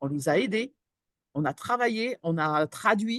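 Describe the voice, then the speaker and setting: A woman's pitch swings very widely in a dry, close recording with a quiet background and no echo. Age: 60s. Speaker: employment support professional. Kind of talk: webinar panel discussion. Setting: online webinar. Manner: hesitant, many fillers.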